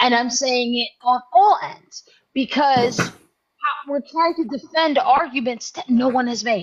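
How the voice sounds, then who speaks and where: A woman speaks loudly at a high pitch. She goes at a fairly slow pace with ordinary pitch variation. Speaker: chat room moderator. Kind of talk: heated debate.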